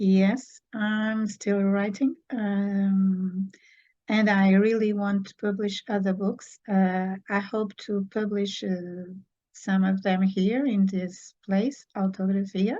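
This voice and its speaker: Speaking in a Portuguese accent, a woman talks at a very slow pace with monotone, flat intonation. Her tone is dark and mellow, and somewhat breathy. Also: medium pitch for a woman. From Portugal. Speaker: children's book author. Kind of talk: interview. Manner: halting.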